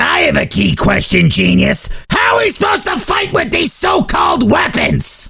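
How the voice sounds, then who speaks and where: Over music in the background, a man is shouting in a raspy voice at a moderate pace with very even loudness. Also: hardly any pauses. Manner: rough, irritable, sarcastic.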